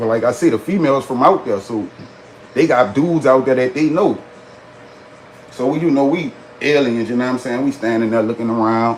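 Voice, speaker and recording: Over noticeable background noise, a man talks at a fairly quick pace and medium pitch with ordinary pitch variation, leaving long, frequent pauses. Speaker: storyteller livestreamer. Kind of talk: casual storytelling on livestream. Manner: animated.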